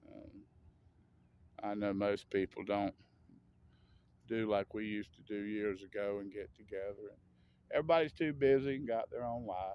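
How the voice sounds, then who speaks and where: The speaker has an American accent and talks at a moderate pace. Pitch varies by an ordinary amount. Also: man. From US South. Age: 60s. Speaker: vlogger. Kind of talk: casual monologue. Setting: outdoors. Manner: rambling, halting with fillers.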